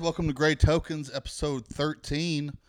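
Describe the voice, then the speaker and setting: A man with a Southern US accent and a fairly high pitch, in a very clean recording with a silent background. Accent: Southern US, noticeable. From Alabama. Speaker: podcast host, comedian. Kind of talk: casual chat. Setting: studio.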